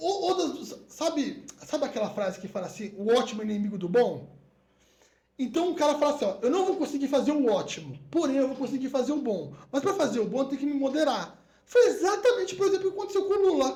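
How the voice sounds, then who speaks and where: This man's voice sits extremely high in pitch yet has a dark, mellow tone. He talks very fast, his pitch swinging very widely. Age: 30s. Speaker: podcast guest. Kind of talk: casual chat.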